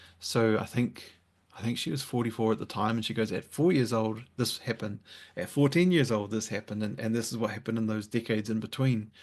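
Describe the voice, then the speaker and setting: A man talks at a fairly quick pace in a plain, everyday voice, at a medium pitch with ordinary pitch variation. The background is quiet. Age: 40s. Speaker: author. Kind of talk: casual chat.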